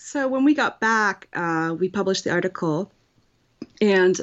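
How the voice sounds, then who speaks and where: A woman with medium pitch and lively intonation speaks at a fairly slow pace. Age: 30s. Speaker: writer. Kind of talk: interview. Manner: hesitant with fillers.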